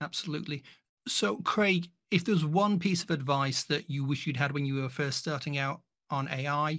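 A man with a plain, everyday voice and fairly high pitch talks with ordinary pitch variation on a very clean recording with a silent background. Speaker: podcast host. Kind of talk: interview, scripted intro and outro.

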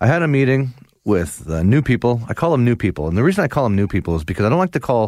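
In a warm tone, a man speaks at a very fast pace and medium pitch with very wide pitch swings, on a very clean recording with a silent background. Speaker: radio host. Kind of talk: radio dj patter: upbeat Sunday-morning host banter, bright welcome. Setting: radio studio broadcast. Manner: chatty, warm, easygoing, bantering.

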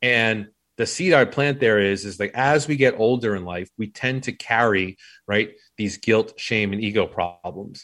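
The recording is very clean, with a silent background. A man talks fairly slowly at medium pitch, using ordinary pitch variation. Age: 40s. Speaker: business coach and former Marine. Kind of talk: casual interview chat. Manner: halting, many false starts.

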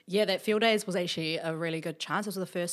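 In a very clean recording with a silent background, a woman with a New Zealand accent speaks with fairly even intonation. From New Zealand, Wellington. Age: young. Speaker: entrepreneur. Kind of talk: interview.

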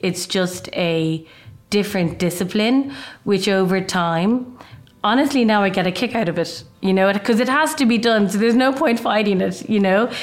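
Speaking at a moderate pace, a woman with an Irish accent uses ordinary pitch variation. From Ireland. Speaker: fashion designer. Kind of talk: casual interview.

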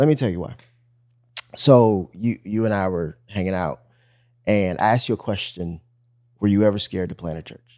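A man with an American accent, fairly low in pitch, dark and mellow in tone, with ordinary pitch variation and long, frequent pauses. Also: moderate pace, big swings in loudness. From US Midwest, suburban Detroit, Michigan. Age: 30s. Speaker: teaching pastor. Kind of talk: casual conversation, faith interview.

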